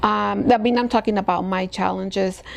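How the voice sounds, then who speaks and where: Spanish-accented speech from a woman. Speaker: escrow company president. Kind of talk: podcast interview. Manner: hesitant, many fillers.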